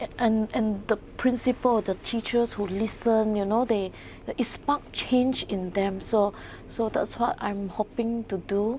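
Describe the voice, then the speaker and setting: A woman with a Mandarin accent speaks at a fairly slow pace, her fairly high pitch held in fairly even intonation. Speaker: author and English lecturer. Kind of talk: interview. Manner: halting, with repetitions.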